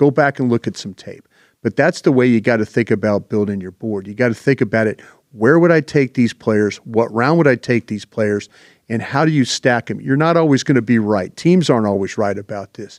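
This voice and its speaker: A plain, everyday voice at a fairly quick pace, with ordinary pitch variation, a dry, close sound with no echo, and a quiet background. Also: man. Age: 60s. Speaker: football draft analyst. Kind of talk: casual panel discussion. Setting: podcast.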